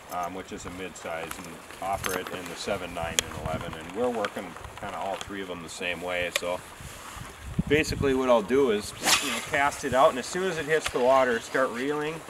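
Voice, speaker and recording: Loud background noise runs beneath speech delivered at a fairly quick pace. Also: man. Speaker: fishing guide. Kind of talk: tutorial. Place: waterside.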